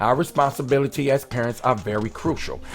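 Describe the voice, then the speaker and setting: Music plays behind a man with an American accent and a fairly high pitch. He talks at a very fast pace with lively intonation. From Richmond, California. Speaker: podcast host. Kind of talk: casual chat; scripted monologue.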